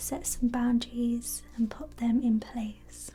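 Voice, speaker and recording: Music plays in the background. The voice has a gentle, soothing tone and a very slow pace. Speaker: reiki practitioner / energy healer. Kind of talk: ASMR reiki energy healing session, guided. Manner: soft-spoken, gentle, slow, soothing.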